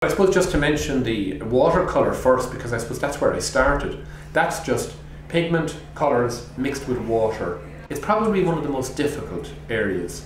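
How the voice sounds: There is audible room echo here. A man speaks with big pitch swings. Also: medium pitch for a man, moderate pace.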